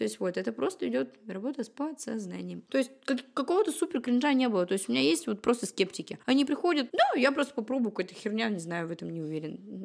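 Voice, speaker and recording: Speaking fairly quickly in a fairly high pitch, a woman shows vocal fry and very wide pitch swings on a very clean recording with a silent background. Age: 20s. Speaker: tarot reader and numerologist. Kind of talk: casual chat.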